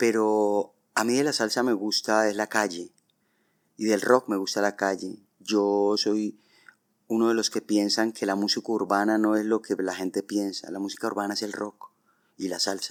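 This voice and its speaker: Delivered in a monotone, flat intonation at a moderate pace, the recording is very clean with a silent background and a dry, close sound without echo. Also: man, fairly low pitch for a man. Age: 60s. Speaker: rock band vocalist. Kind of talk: podcast interview.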